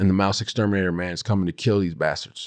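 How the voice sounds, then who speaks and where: In a dry, close recording with no echo and a quiet background, a man with a very deep, low voice speaks at a fairly quick pace in an animated tone. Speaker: podcast host and speaking coach. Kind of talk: casual solo podcast monologue. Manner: loud.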